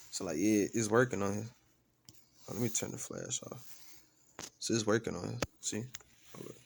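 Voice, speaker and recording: Fairly low-pitched male voice at a fairly quick pace, fairly even in intonation, broken by long, frequent pauses. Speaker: gaming YouTuber. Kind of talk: unboxing review vlog. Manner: quiet, not loud; casual slangy. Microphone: new USB microphone being tested.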